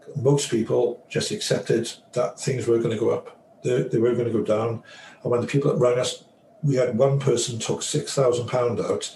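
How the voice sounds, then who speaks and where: There is noticeable background noise as a man talks at a moderate pace with very even loudness. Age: 60s. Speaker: financial advisor. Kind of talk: interview.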